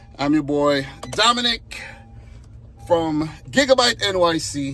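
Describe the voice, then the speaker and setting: Over noticeable background noise, a man speaks with lively intonation and a fairly high pitch. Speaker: content creator. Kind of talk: casual chat.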